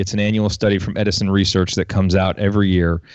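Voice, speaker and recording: The man speaks with a fairly low pitch. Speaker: podcast host and marketing executive. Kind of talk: interview. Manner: animated.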